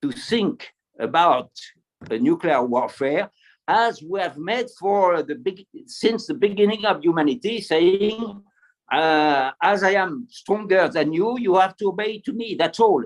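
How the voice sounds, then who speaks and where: A high-pitched man with a French accent, lively intonation and long, frequent pauses. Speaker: retired military officer, panelist. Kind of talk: panel discussion. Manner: halting, many repetitions; enthusiastic. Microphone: poor signal.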